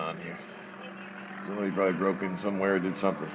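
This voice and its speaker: Over noticeable background noise, a man with a very deep, low pitch talks at a very fast pace. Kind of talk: casual commentary. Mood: curious, mildly irritated. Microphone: phone near.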